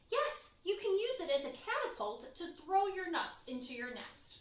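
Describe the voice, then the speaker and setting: A woman's put-on character voice, extremely high in pitch, at a moderate pace, with very wide pitch swings and a slight echo. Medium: read story.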